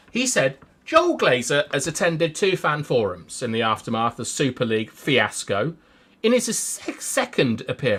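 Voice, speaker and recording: Using a put-on character voice, a hoarse man with a fairly high pitch makes very wide pitch swings at a moderate pace. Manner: reading a quote.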